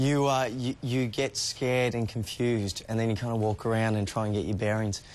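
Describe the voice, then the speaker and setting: This man talks at a fairly quick pace and a medium pitch, his loudness very even and his intonation fairly even. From Australia. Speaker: actor. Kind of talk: TV interview.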